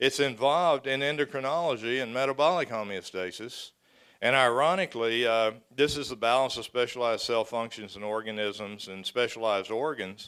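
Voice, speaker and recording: A man's medium-pitched voice with ordinary pitch variation, on a very clean recording with a silent background. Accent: Texas. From Texas. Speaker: professor. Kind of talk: lecture. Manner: fast; halting, many fillers.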